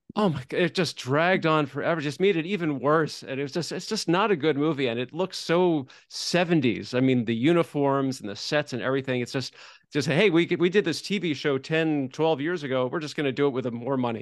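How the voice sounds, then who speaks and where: A man with an unremarkable speaking voice talks at a fairly quick pace, hardly pausing, in a fairly high pitch. His pitch variation is ordinary and the background is quiet. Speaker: podcast co-host and screenwriting blogger. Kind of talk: casual interview chat.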